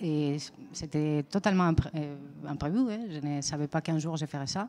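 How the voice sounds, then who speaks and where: With a Spanish accent, a woman speaks in a very deep, low pitch and a dark, mellow tone. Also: ordinary pitch variation, moderate pace. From Spain. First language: Spanish (speaking French). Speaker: visual artist. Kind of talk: interview. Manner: hesitant.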